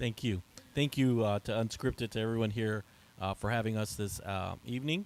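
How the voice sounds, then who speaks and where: Using an unremarkable speaking voice, a man with an American accent speaks at a medium pitch and a fairly quick pace. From Northern Virginia. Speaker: community organizer. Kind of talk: panel discussion.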